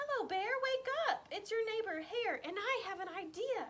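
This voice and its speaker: Squeaky and extremely high-pitched, a woman's put-on character voice carries the clip. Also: moderate pace. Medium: read story. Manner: quick, persuasive.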